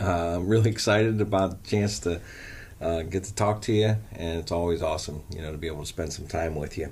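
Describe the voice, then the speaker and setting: The speaker has an American accent and a somewhat breathy voice. The pace is fairly quick, with audible room echo. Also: man, very deep, low pitch for a man, ordinary pitch variation. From Canton, Ohio (US Midwest). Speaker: college coach and former teacher. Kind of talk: interview. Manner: halting, many fillers.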